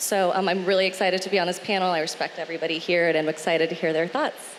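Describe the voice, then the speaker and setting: A woman talks at a very fast pace and fairly low pitch, her intonation fairly even. Noticeable background noise sits behind her. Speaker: marketing agency vice president. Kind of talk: panel discussion. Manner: loud.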